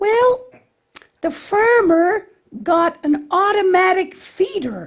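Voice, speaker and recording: A man puts on a character voice at an extremely high pitch. He speaks at a very slow pace. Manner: bumbling, confused.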